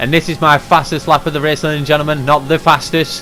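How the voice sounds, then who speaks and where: With music in the background, a man speaks at a fairly quick pace in a fairly high voice with fairly even intonation. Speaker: sim racing league driver and commentator. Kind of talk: race recap commentary. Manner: fast.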